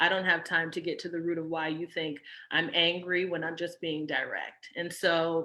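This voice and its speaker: Her tone bright and sharp, a woman speaks at a moderate pace in a fairly low pitch. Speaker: nanny coach. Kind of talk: casual chat. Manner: direct.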